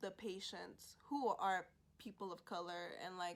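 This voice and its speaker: Here is a woman with a normal speaking voice. Her intonation is fairly even. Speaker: college student vlogger. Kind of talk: casual vlog talk. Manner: many fillers (like, um).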